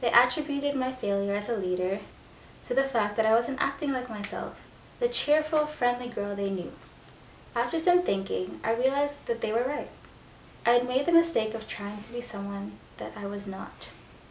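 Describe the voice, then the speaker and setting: A woman speaks at a moderate pace with a high pitch and ordinary variation. Room echo is audible. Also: big swings in loudness. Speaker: YouTuber. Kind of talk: reading aloud.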